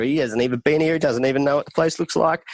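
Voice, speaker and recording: In an Australian accent, a man speaks on a very clean recording with a silent background. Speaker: traveler, festival documentary maker. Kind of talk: podcast interview. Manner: animated.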